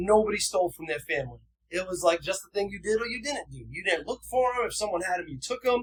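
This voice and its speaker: In an American accent, a man with a high pitch talks at a very fast pace in an animated tone with ordinary pitch variation. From New Bedford, Massachusetts. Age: 40s. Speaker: person in long-term recovery. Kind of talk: casual interview chat, telling life story.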